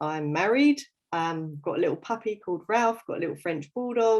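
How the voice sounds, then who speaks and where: Lively intonation runs through this voice with an English accent. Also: woman, quiet background. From London, England. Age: 30s. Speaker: fitness coach. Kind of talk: casual livestream interview. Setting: Facebook live video.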